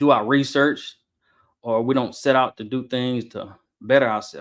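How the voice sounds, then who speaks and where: At a moderate pace, a man speaks at a medium pitch with monotone, flat intonation. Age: 40s. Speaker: podcast host. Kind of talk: solo podcast monologue. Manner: mumbling at times.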